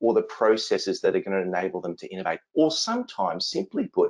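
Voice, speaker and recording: The speaker has an Australian accent. He is a man who talks fairly quickly. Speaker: innovation consultant and speaker. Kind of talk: webinar presentation.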